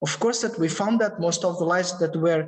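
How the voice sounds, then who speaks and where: A man speaks with ordinary pitch variation in a room with audible echo and noticeable background noise. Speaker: researcher presenting imaging technology. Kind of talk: lecture Q&A answer. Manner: halting, many repetitions.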